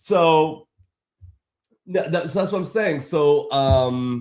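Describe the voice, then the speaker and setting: A man talks with an American accent. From Boston area, Massachusetts. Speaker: graphic design livestreamer. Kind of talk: casual livestream chat with viewers. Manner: animated, casual.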